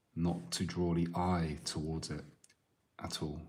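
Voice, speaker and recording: In a very deep, low voice, a man speaks in a calm tone with monotone, flat intonation and audible room echo. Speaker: artist. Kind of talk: live drawing stream commentary. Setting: live stream. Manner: quiet.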